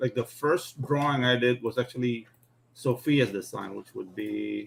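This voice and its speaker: A man with a non-native accent talks at a fairly slow pace. His medium pitch shows ordinary variation. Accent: foreign. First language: not English. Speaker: comic book artist. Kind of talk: casual chat.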